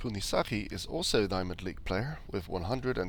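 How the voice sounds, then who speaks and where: A man speaks quietly. His pace is moderate. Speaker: game commentator. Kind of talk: esports game commentary.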